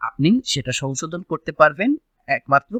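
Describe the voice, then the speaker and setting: A man speaks with very wide pitch swings and a bright, sharp tone. The sound is dry and close, with no echo. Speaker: YouTube channel host. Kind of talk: explainer vlog.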